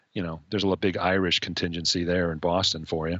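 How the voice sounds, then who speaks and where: With an American accent, a man speaks at a very deep, low pitch and with fairly even intonation. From Chicago, US Midwest. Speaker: fan of the week, Packers fan. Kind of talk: casual chat.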